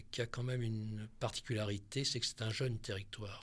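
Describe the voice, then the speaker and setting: The pace is fairly quick. The voice sounds somewhat breathy. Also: man. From Corsica, France. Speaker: psychiatrist and researcher. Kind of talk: radio interview.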